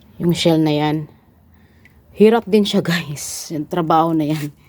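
Noticeable background noise runs under this clip. A woman talks at a moderate pace, her pitch varying in an ordinary way. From Philippines. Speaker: vlogger. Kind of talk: casual vlog narration.

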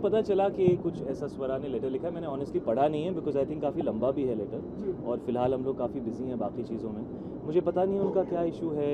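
Over loud background noise, a man talks with hardly any pauses. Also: moderate pace. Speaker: film actor. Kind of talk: press interview answer. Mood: pleased, relieved. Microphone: handheld.

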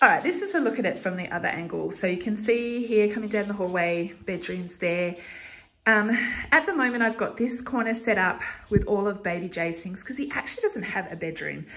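The pace is fairly quick. A woman speaks with lively intonation. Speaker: home vlogger. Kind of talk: casual vlog chat. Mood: cheerful, laughing. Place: home room. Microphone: phone near.

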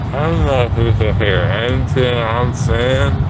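A man mumbling at a fairly slow pace, dry sound with no echo, loud background noise all around. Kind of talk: casual vlog chat. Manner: drowsy, mumbling medicated voice. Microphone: phone near.

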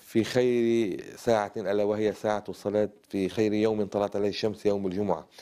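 A man speaks in a dark, mellow tone at a fairly low pitch. His intonation is monotone and flat, and the background is quiet. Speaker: Islamic movement leader and cleric; interview guest. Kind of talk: TV interview. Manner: formal. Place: studio.

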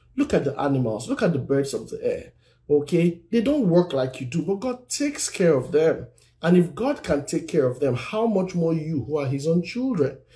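The tone is dark and mellow, with very wide pitch swings. The pace is moderate. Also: man. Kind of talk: sermon-style live teaching.

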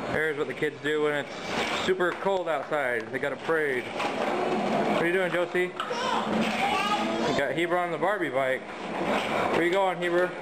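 The speaker talks at a moderate pace, with long, frequent pauses. Loud background noise runs underneath. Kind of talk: casual home video narration. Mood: relaxed, amused. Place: home room. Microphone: phone near.

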